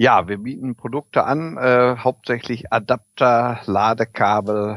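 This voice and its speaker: The recording gives a dry, close sound with no echo for a man with a plain, everyday voice in a medium pitch. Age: 40s. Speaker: electric vehicle equipment entrepreneur. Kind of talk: interview. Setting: video call.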